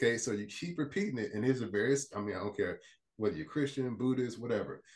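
Speaking at a fairly quick pace with lively intonation, a man with an American accent sounds somewhat breathy. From Port Arthur, Texas. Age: 40s. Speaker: life coach and motivational speaker. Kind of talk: casual podcast interview.

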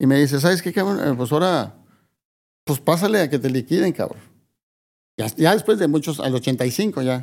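A man's fairly high voice at a moderate pace, with lively intonation and long, frequent pauses, in a very clean recording with a silent background. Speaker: music promoter. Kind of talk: interview.

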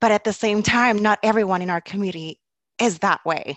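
Recorded dry and close with no echo, a woman with an unremarkable speaking voice talks at a moderate pace with ordinary pitch variation. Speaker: mother, community guest. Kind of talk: casual chat.

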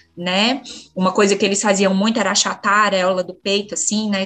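Over music in the background, a woman speaks at a moderate pace and a medium pitch. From Minas Gerais, Brazil (Bambuí). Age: 40s. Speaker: mother sharing breastfeeding story. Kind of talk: personal testimony in interview. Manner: halting, many fillers.

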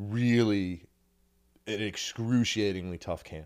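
An ordinary speaking voice from a man, fairly low in pitch with fairly even intonation, on a very clean recording with a silent background. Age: 40s. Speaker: MMA executive and debut pro fighter. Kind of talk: casual chat.

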